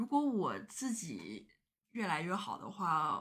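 Very wide pitch swings mark the speech, which moves at a very slow pace. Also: woman. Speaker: podcast guest. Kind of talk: casual chat.

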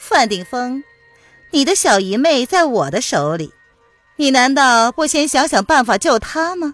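Using a put-on character voice with a high pitch and fairly bright tone, a woman makes big pitch swings at a fairly slow pace while faint music plays in the background.

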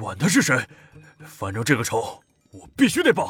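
A man's put-on character voice, fairly high in pitch, at a moderate pace with big swings in loudness and faint music in the background. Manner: slurred, angry, vengeful.

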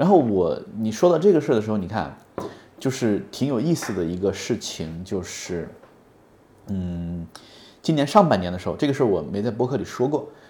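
A man's fairly low, dark, mellow voice with very wide pitch swings, a moderate pace, and long, frequent pauses. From Hunan, China. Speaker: podcast co-host. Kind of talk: casual chat. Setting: office.

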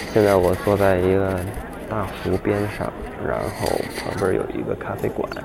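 Long, frequent pauses at a moderate pace, fairly even intonation, audible room echo, and noticeable background noise. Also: man, very deep, low pitch for a man. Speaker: podcaster. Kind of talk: casual monologue. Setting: outdoors by a lake.

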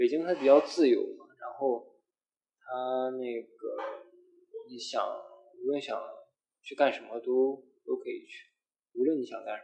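A man talks at a fairly slow pace, his loudness swinging widely between long, frequent pauses. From Shandong, China. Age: 20s. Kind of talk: casual chat.

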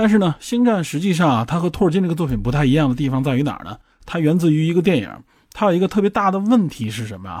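A man's very fast speech with very wide pitch swings, in a very clean recording with a silent background. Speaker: podcast host. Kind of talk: solo explanatory monologue.

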